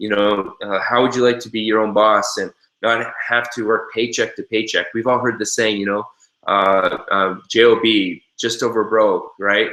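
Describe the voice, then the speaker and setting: Monotone, flat intonation runs through this man's medium-pitched voice. His tone is bright and sharp, and his pace is moderate. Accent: Canadian. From Canada. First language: American Sign Language. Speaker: network marketing trainer. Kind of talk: webinar training. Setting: live webinar. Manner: hesitant with many fillers.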